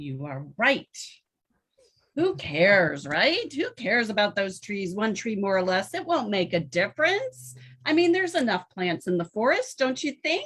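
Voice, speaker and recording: A female-sounding voice puts on a character voice at a medium pitch, using very wide pitch swings at a moderate pace. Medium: stage. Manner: dismissive.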